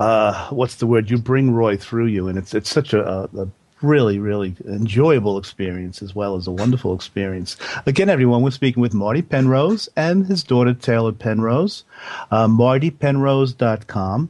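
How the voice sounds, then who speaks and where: Speaking with a New Jersey accent, a man uses lively intonation at a medium pitch and a moderate pace. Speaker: radio host. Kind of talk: radio interview.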